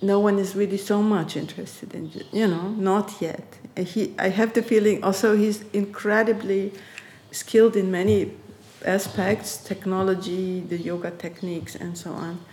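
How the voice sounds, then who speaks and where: At a moderate pace, a woman speaks at a medium pitch in a monotone, flat intonation with noticeable background noise. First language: German. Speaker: artist and researcher. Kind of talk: interview conversation. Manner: halting, with frequent repetitions.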